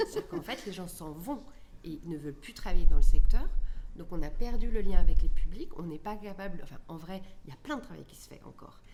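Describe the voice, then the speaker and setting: Amid audible room echo and noticeable background noise, a woman of medium pitch speaks with very wide pitch swings and big swings in loudness. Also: fairly quick pace. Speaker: cultural venue director. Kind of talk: panel discussion.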